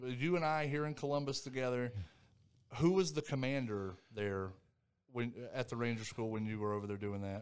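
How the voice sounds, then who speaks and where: A man with an American accent, medium pitch and ordinary pitch variation, moderate pace, and long, frequent pauses. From North Carolina, Thomasville. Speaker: retired army soldier. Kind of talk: interview.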